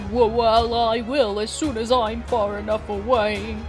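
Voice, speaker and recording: Over music in the background, a woman speaks in a put-on character voice. Her pitch is fairly high, and her pace fairly slow. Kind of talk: character dialogue performance. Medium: fan dub. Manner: whiny, lazy, fearful.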